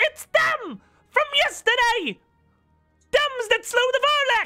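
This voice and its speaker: A put-on character voice at an extremely high pitch speaks at a fairly slow pace, with faint music in the background. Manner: shouting across a hall.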